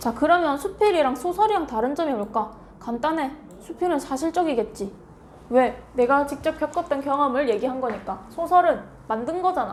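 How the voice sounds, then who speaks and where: A high-pitched woman with a Gyeongsang accent, lively intonation and a moderate pace, in a room with audible echo. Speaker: middle school Korean language teacher. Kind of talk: lecture. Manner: conversational, asks rhetorical questions.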